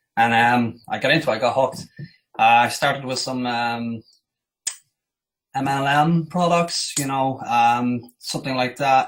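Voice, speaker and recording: Speaking with an Irish accent, a man holds a medium pitch and fairly even intonation at a fairly slow pace, with long, frequent pauses. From Ireland, Dublin. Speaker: digital marketing agency owner. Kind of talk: interview.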